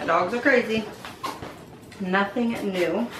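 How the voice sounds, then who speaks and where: A woman's fairly high voice comes with noticeable background noise and audible room echo. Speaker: beauty YouTuber. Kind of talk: casual unboxing vlog. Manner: chatty, informal.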